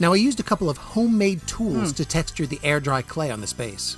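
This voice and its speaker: Over background music, a man talks at a very fast pace with a fairly high pitch and very wide pitch swings. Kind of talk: casual talk to camera. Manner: playful, jokey.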